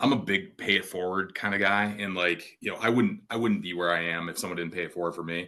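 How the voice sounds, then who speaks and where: A man with an American accent talks very fast at a very deep, low pitch, his tone bright and sharp. The background is quiet. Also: fairly even intonation, hardly any pauses. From Northern Virginia, US. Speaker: tech executive. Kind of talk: casual chat. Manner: halting.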